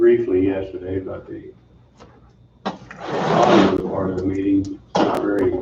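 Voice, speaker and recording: A man's very slow speech comes through noticeable background noise. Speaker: county commission chairman. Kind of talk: public meeting discussion. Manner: low talker, voice doesn't carry.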